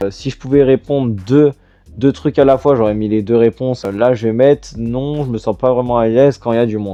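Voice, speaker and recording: A man speaks in a medium-pitched voice with fairly even intonation. He keeps a fairly quick pace. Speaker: youtuber / podcaster. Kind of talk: casual monologue answering a quiz. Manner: calm, composed; hesitant, many fillers.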